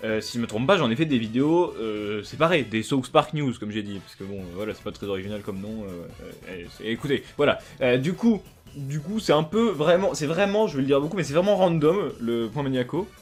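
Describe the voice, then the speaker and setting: Music plays behind a man whose fairly high voice moves at a fairly quick pace, with very wide pitch swings and big swings in loudness. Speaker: YouTuber. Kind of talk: casual monologue vlog. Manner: fast; rambling, many fillers and restarts.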